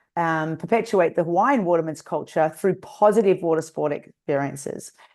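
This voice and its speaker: Against a quiet background, a woman with an Australian accent talks at medium pitch with ordinary pitch variation. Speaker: nonprofit founder and Olympic kayaking coach. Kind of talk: webinar interview.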